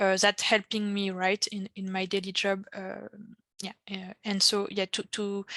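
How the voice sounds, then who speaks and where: In a French accent, a woman talks at a fairly slow pace with a bright, sharp tone and monotone, flat intonation against a quiet background. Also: medium pitch for a woman, dry, close sound with no echo. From France. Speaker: pharmacist, regulatory affairs panelist. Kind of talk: panel discussion.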